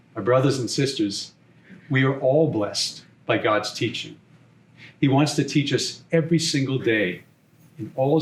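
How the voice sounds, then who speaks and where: With a Boston accent, the speaker sounds somewhat breathy, moving at a moderate pace with ordinary pitch variation. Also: man. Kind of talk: homily.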